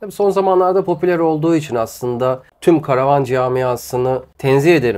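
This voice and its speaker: He has a plain, everyday voice with a fairly high pitch. The man's pace is moderate, with hardly any pauses and ordinary pitch variation. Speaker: YouTube interviewer host. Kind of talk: casual interview talk.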